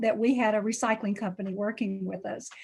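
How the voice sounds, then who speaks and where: A woman with a Tennessee accent at a fairly quick pace, on a very clean recording with a silent background. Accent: Southern US (Tennessee). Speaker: pastor. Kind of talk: community meeting talk.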